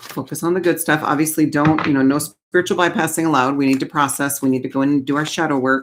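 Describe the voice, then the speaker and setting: The speech moves at a very fast pace with hardly any pauses. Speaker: tarot card reader. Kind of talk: oracle card reading. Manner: casual.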